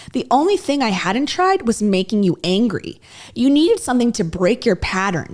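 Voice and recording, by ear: Someone reads aloud here in a natural voice.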